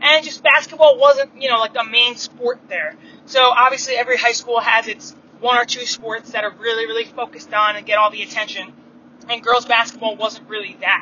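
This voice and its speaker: A woman's fairly high voice in a New York accent, fairly quick, with ordinary pitch variation and noticeable background noise. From Long Island, New York. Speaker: basketball coach and former college player. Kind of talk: casual monologue. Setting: in a car. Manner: casual, many filler words. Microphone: phone recording.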